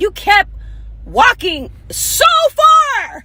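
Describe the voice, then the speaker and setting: A woman speaks with an American accent at an extremely high pitch, her pitch swinging very widely. Noticeable background noise is present. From US suburbs. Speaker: singer. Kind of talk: heated rant. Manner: soft-spoken.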